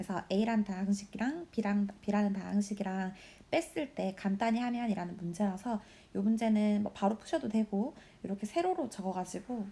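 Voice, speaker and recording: Moderately paced speech from a woman in a plain, everyday voice, pitched in the middle range with ordinary pitch variation. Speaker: high school math teacher. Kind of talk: recorded lesson walkthrough.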